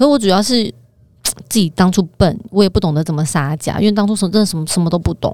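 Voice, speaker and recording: Here a woman talks at a very fast pace and a medium pitch. Her tone is dark and mellow, with ordinary pitch variation. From Taiwan. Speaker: finance professional, former model. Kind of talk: casual chat.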